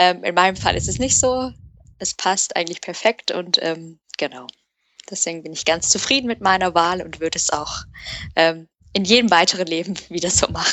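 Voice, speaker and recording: Here is a plain, everyday voice at a moderate pace. Its pitch variation is ordinary. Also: woman, fairly low pitch for a woman. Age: young. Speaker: product manager, industrial engineer. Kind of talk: interview.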